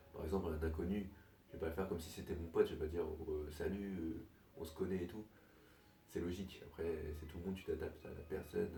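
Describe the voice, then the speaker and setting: The voice is soft-spoken and whispering. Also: man. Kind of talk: casual monologue to camera. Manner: soft-spoken, partly whispered.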